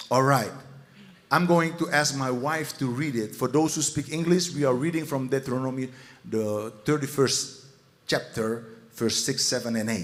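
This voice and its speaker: Audible room echo surrounds a fairly slow voice in a Dutch accent with ordinary pitch variation. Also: man, medium pitch for a man. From Netherlands. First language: Dutch (speaking Indonesian). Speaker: pastor. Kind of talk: sermon. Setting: church.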